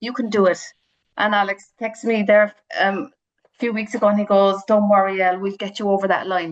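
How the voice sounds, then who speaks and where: This woman speaks with a Cork accent at a medium pitch and a fairly quick pace. Her loudness swings widely. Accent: Cork Irish. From Ireland, County Cork (Ballyvourney). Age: 40s. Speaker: charity fundraiser and runner. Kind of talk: radio interview. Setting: phone call. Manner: animated.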